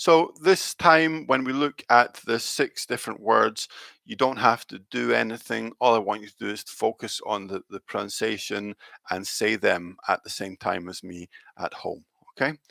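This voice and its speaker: A man with a Scottish accent and a medium pitch speaks in a bright, sharp tone with lively intonation and big swings in loudness, the sound dry and close with no echo. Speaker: English teacher. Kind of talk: live online pronunciation lesson. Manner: slow, clear modelling of sounds.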